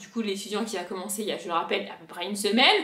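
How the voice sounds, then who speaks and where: Over noticeable background noise, a speaker with a southern French accent talks at a fairly quick pace in an animated tone. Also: woman. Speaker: vlogger. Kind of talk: casual vlog chat.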